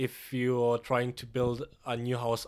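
A man at a medium pitch, flat and monotone, on a very clean recording with a silent background. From Kenya and Germany. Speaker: podcast co-host. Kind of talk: casual chat.

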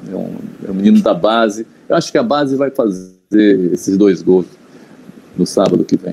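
Leaving long, frequent pauses, a man with a dark, mellow tone and fairly low pitch talks at a moderate pace with ordinary pitch variation. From Bahia interior, Brazil. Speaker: journalist and Vitória fan. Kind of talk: casual interview chat.

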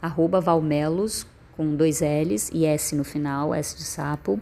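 A woman's very deep, low voice, dark and mellow in tone, with ordinary pitch variation and a very slow pace. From Northeast Brazil (Piauí). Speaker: poet and performer. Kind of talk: personal storytelling monologue.

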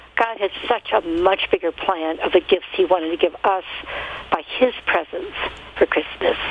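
A woman talks at a moderate pace over noticeable background noise, with medium pitch and ordinary pitch variation. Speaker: caller. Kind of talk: casual chat sharing testimony. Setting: phone call.

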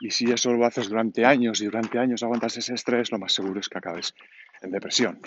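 A man speaks at a very fast pace and medium pitch. His intonation stays fairly even. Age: 40s. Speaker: podcaster. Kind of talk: personal audio diary. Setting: outdoors walking. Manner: halting.

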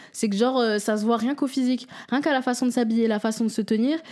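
A woman talks at a very fast pace in a high pitch with ordinary pitch variation. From France, Seine-et-Marne (77). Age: 20s. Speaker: geography student, nail artist and music artist. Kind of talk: casual chat.

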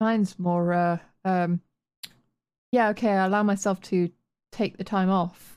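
A speaker with a Yorkshire accent talks at a fairly slow pace in a monotone, flat delivery with very even loudness and long, frequent pauses. The recording is very clean and dry, close with no echo, over a silent background. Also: woman, medium pitch for a woman. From Yorkshire, northern England. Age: 30s. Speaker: podcast host and streamer. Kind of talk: casual chat.

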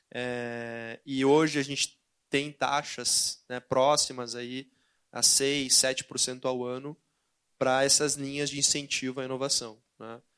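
In a southern Brazilian accent, the speaker talks very slowly in a flat monotone, with big swings in loudness. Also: man, medium pitch for a man, quiet background. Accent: southern Brazilian (gaúcho). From southern Brazil, Porto Alegre. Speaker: investment banker. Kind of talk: panel talk. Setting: stage with audience.

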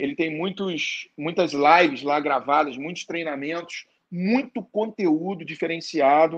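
At a very slow pace, a man talks in a fairly high pitch with ordinary pitch variation. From Rio de Janeiro, Brazil. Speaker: network marketing entrepreneur. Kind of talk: interview.

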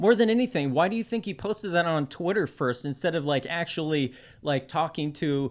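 In a normal speaking voice, a man talks with his pitch varying in an ordinary way. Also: quiet background. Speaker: political blogger. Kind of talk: casual chat.

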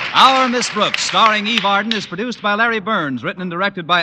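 A man talks in a raised, projected voice with an upbeat tone, his pitch high and his pace fairly quick. Noticeable background noise runs under him. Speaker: radio announcer. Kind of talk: radio announcer, formal narration and ad read. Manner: polished, brisk, upbeat.

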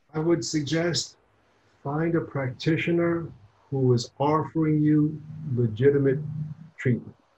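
With an American accent, a man speaks at a fairly slow pace in a fairly high, somewhat breathy voice of dark, mellow tone, leaving long, frequent pauses. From New York. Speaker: gynecologist. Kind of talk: interview.

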